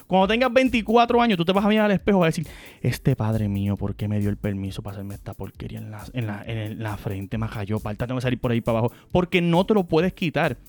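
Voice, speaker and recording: A man talks very fast with hardly any pauses. His loudness swings widely. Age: 30s. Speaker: family podcast host. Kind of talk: casual chat.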